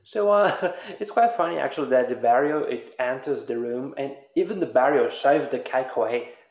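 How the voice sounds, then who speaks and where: A man with a fairly high voice and lively intonation talks at a fairly quick pace over noticeable background noise. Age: 20s. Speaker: podcast host. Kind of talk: casual chat.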